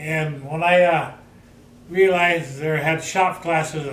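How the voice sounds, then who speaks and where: Amid noticeable background noise and audible room echo, a man talks at a fairly high pitch with monotone, flat intonation. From Michigan, then California desert from age twelve. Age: 70s. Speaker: retired machinist. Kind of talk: life story interview. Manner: halting, with hesitations.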